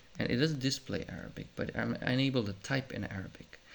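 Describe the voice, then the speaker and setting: A man with a Serbian accent, vocal fry, and ordinary pitch variation. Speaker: YouTuber reviewing tech. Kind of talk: casual unscripted product review. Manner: halting, with many fillers.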